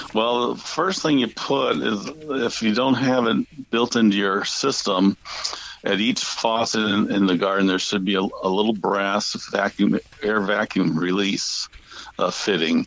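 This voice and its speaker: Through noticeable background noise, a man with an American accent talks at a fairly slow pace, his fairly low pitch showing ordinary variation and his loudness very even. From US Midwest (St. Louis, Missouri). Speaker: garden book author, drip irrigation expert. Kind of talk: interview.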